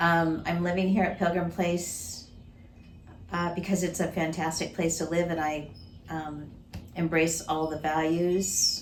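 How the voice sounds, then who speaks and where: A fairly low-pitched woman's fairly slow, monotone, flat delivery, with noticeable background noise and audible room echo. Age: 60s. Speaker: retired minister. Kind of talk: interview.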